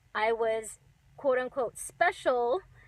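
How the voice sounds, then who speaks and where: Here a woman talks at a high pitch and a fairly slow pace. It is a very clean recording with a silent background. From Alaska. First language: Chinese. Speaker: tea company owner. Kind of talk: casual live stream talk. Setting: in a car.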